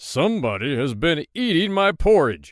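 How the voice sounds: A man puts on a gruff character voice with a fairly high pitch. His pitch swings very widely at a moderate pace.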